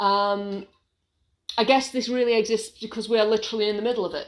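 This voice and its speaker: Speaking with an English accent, a woman uses a fairly high pitch and ordinary pitch variation in a very clean recording with a silent background. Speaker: small business owner and vlogger. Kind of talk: casual vlog monologue. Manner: hesitant, with many fillers.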